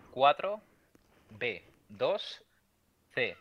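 A man is talking here. His delivery is very slow. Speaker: podcast co-host. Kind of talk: casual chat, film trivia quiz.

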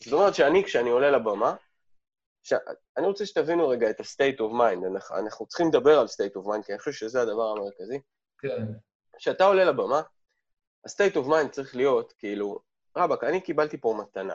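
Speaking at a fairly quick pace, a man with a fairly high pitch makes very wide pitch swings and takes long, frequent pauses. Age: 40s. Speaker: lecturer and habits coach. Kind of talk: interview conversation. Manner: blunt, direct.

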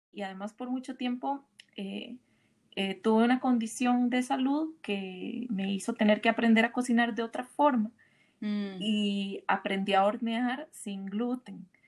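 With ordinary pitch variation, a woman talks fairly slowly, her voice fairly high and somewhat breathy. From Costa Rica. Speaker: podcast host. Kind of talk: interview.

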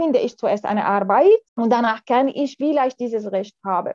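With an Arabic accent, a woman speaks in a high pitch at a moderate pace, her pitch varying in an ordinary way. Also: dry, close sound with no echo. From Syria. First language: Arabic (speaking German). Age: 40s. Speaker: lawyer. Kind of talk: interview. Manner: halting.

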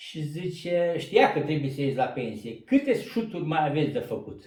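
A man's fairly high voice swings very widely in pitch as he talks fairly slowly. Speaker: retired coal miner. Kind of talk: storytelling interview. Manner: animated.

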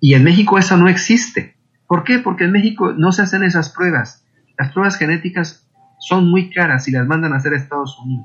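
Here a man talks at a fairly quick pace. His high voice shows ordinary pitch variation. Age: 40s. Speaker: intended father in surrogacy. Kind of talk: interview testimony.

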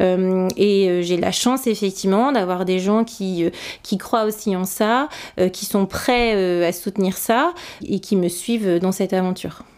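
Her pace is very slow. The woman speaks at medium pitch with ordinary pitch variation. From northern France. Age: 40s. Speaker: fashion brand founder. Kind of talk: interview testimony. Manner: halting, many fillers; passionate.

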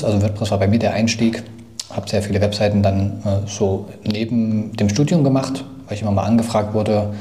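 A man speaks at a fairly low pitch with fairly even intonation. Room echo is audible, along with noticeable background noise. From Thuringia, Germany. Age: 30s. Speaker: software company founder. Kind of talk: casual interview.

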